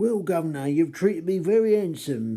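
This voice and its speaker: A man's put-on character voice in a Cockney accent, high and lively, at a moderate pace. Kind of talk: Victorian, deferential.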